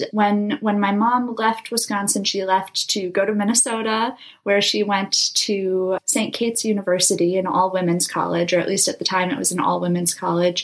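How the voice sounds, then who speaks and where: A woman with an American accent speaks at a medium pitch and moderate pace. Her intonation is fairly even, with noticeable background noise. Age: 20s. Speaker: aspiring astronaut and nonprofit founder. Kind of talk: interview.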